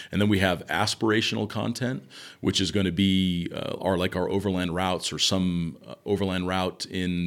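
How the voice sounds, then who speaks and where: A man with an American accent talks at a fairly quick pace in a very deep, low voice with ordinary pitch variation. The recording is very clean, with a silent background. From Southern California. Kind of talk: casual interview chat.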